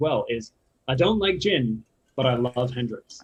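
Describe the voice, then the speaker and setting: Lively intonation marks a man's somewhat breathy voice at a fairly quick pace. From England and US (dual heritage). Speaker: spirits brand ambassador, former bartender. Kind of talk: casual interview, educational.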